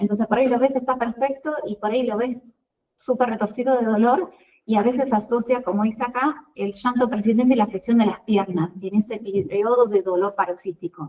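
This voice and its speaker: Her pitch fairly high, a woman talks with ordinary pitch variation. She keeps a fairly quick pace. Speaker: pediatrician giving a class to residents. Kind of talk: lecture. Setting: video call. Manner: fast.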